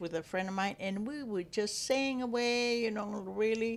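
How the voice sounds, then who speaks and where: The speaker has a strong Spanish accent and a moderate pace. Pitch varies in an ordinary way. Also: woman. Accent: heavy Spanish. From Texas. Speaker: grandmother. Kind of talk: casual chat. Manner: halting.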